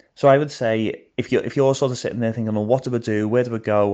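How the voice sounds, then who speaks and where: A man with a Liverpool accent speaks at a medium pitch with ordinary pitch variation and a dark, mellow tone against a quiet background. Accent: Scouse (Liverpool). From Liverpool, England. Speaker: missions worker. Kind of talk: interview. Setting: voice notes.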